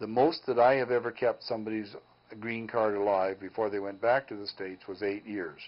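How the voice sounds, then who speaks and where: A man with a plain, everyday voice talks fairly quickly at a fairly low pitch, his intonation fairly even but his loudness swinging widely. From Canadian prairies. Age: 60s. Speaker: mortgage broker. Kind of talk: call-in advice show.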